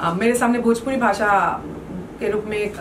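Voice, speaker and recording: A woman speaks at a medium pitch. Noticeable noise runs in the background. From Assam, India. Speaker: folk singer. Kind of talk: interview answer. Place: home room. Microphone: handheld.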